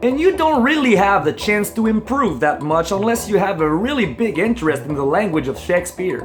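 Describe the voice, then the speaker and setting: Over noticeable background noise, a man with a Quebec French accent speaks in a high pitch at a moderate pace. His pitch swings very widely. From Quebec, Canada. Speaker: comedy vlogger. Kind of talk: comedic talk to camera.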